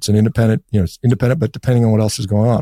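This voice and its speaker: On a very clean recording with a silent background and a dry, close sound with no echo, a man with an American accent has a fairly low pitch and a dark, mellow tone. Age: 50s. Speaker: physician and diet author. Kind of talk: interview. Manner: halting.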